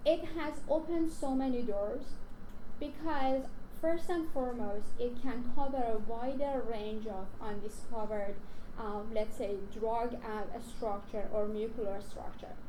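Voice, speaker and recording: With a Persian accent, a woman talks at a fairly slow pace in a fairly high pitch with ordinary pitch variation, amid audible room echo and noticeable background noise. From Iran. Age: young. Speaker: research scientist. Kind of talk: conference talk. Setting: stage with audience. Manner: talkative.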